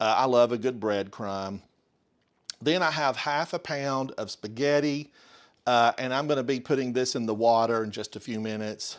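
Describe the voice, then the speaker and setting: A man talks with an Appalachian accent at a moderate pace and medium pitch. His pitch varies in an ordinary way on a very clean recording with a silent background. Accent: Smoky Mountain (Appalachian). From US South, Smoky Mountains of Western North Carolina. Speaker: home cooking streamer. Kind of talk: live cooking stream. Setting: home kitchen, live stream. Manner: casual, chatty with fillers.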